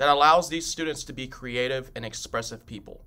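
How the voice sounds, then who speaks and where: A man is the speaker here. Bright and sharp, his tone stands out. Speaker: music teacher. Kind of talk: welcome address. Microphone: phone near.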